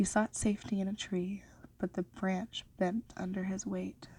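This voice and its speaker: Soft-spoken and somewhat breathy, a woman with a medium pitch speaks at a fairly slow pace in a monotone, flat way. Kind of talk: ASMR story reading.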